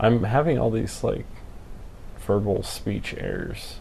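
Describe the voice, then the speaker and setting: A man at medium pitch, very slow pace, audible room echo around the voice. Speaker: camera hobbyist live streamer. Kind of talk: casual live stream chat. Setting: live stream. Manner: halting, slurred speech.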